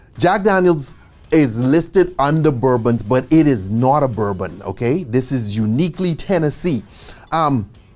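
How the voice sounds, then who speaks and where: Someone speaks with a Caribbean accent at a moderate pace. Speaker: bartending instructor. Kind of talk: tutorial. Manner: casual, conversational.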